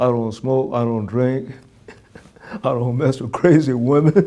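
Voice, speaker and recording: In a New York accent, a man talks at a fairly slow pace and medium pitch, with noticeable background noise. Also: ordinary pitch variation. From Brooklyn, New York. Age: 90s. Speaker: war veteran. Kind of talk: interview answer.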